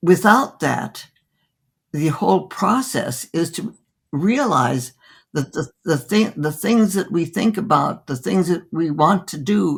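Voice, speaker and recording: This woman's voice is fairly low and somewhat breathy. She speaks very slowly, her pitch swinging very widely. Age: 80s+. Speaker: physician. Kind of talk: interview answer.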